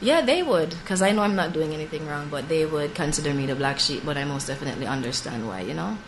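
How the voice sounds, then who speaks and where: Over noticeable background noise and audible room echo, a woman with a very deep, low pitch talks at a very fast pace with lively intonation and hardly any pauses. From Jamaica, Ocho Rios. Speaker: singer-songwriter. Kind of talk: interview. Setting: studio.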